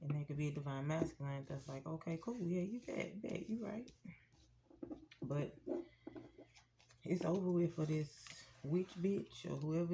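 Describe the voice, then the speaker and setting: A woman's somewhat breathy voice has a dark, mellow tone and fairly low pitch, moving at a fairly slow pace. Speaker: tarot reader. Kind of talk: tarot reading. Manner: speaking low; casual.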